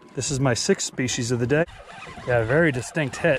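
Over light background noise, the dry sound with no echo carries a fairly quick pace and ordinary pitch variation. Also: man. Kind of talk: casual vlog commentary. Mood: relaxed, amused. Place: boat. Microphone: phone near.

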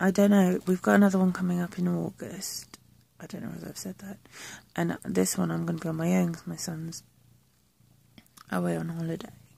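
A woman's voice with long, frequent pauses and a dry sound with no echo. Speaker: vlogger. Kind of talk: casual vlog chat. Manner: slow, low-energy voice lying in bed. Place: home room. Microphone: phone near.

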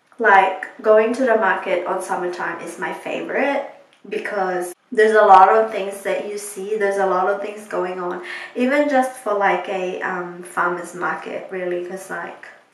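Against audible room echo, a woman's voice rises and falls sharply in loudness. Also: ordinary pitch variation, moderate pace. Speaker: vlogger. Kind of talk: casual vlog chat. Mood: relaxed, recounting the evening. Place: bathroom. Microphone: phone near.

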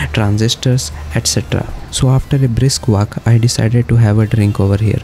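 A man with an unremarkable speaking voice talks at a moderate pace and fairly low pitch, with ordinary pitch variation and light background noise. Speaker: travel vlogger. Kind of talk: casual vlog chat. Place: street. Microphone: phone near.

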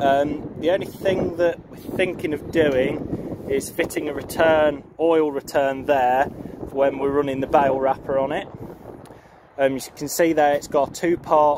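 A man speaks at a fairly slow pace with fairly even intonation, in a dry sound with no echo and noticeable background noise. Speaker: farmer showing his tractor. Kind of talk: casual vlog walkaround commentary. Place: farm machine. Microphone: phone near.

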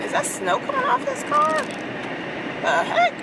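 A woman talks at a very slow pace. Loud background noise runs behind her. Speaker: vlogger. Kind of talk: casual vlog chat. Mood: reflective, briefly irritated. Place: car. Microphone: phone near.

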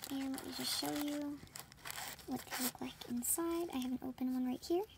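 Her pitch is high, and a woman talks at a moderate pace with ordinary pitch variation. Noticeable background noise runs underneath. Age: young. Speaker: product reviewer. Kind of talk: product unboxing talk to camera. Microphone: phone near.

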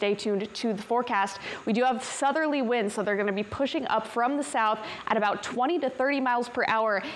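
Against light background noise, a woman speaks at a fairly quick pace with an upbeat tone. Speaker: TV weather forecaster. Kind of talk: weather report. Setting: TV studio. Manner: upbeat, brisk, conversational; clear, polished broadcast delivery. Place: studio.

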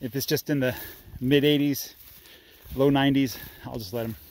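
A man speaks with fairly even intonation in a dry sound with no echo. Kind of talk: casual vlog chat. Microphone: phone near.

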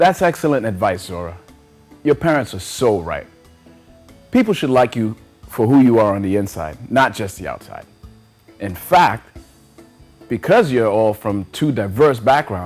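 With faint music behind him, a man talks at a moderate pace and leaves long, frequent pauses. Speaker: children's show host. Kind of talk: scripted children's TV talk. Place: studio.

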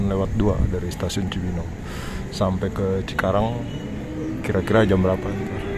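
Loud background noise sits behind a man's voice. The recording has a dry sound with no echo. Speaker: travel vlogger. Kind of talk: casual vlog chat. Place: station. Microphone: phone near.

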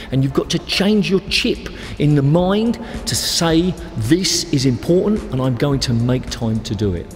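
Faint music plays in the background while the speaker goes at a fairly slow pace. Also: man. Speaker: squash coach. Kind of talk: tutorial. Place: studio. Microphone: lapel.

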